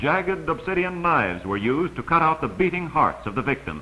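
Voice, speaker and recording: Vocal fry runs through this man's bright, sharp tone, his fairly high pitch carried by lively intonation. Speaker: documentary narrator. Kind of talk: vintage educational travelogue narration. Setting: old film soundtrack.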